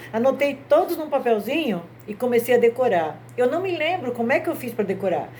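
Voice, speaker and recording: A woman at a moderate pace and a fairly high pitch, with very wide pitch swings. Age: 60s. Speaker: grandmother telling Bible stories. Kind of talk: religious storytelling talk.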